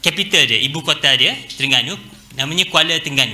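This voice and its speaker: In a room with audible echo and noticeable background noise, a man keeps to a moderate pace. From Malaysia. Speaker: university lecturer. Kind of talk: guest lecture. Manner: relaxed, casual; many hesitation fillers.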